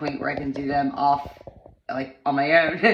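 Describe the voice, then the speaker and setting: A woman's very deep, low voice at a moderate pace, with fairly even intonation and audible room echo. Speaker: vlogger sharing personal wellness journey. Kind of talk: casual personal vlog monologue. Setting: home bathroom. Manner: halting, many false starts.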